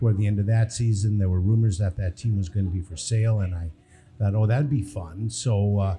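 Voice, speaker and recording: Somewhat breathy and dark, mellow in tone, a man talks at a fairly quick pace with ordinary pitch variation. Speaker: baseball team owner. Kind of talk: live podcast interview. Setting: brewery with live audience. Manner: soft-spoken.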